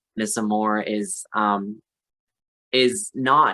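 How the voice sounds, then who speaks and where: Here a man speaks with a Canadian accent and ordinary pitch variation. The recording is very clean, with a silent background. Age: 30s. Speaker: drag performer. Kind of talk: podcast interview.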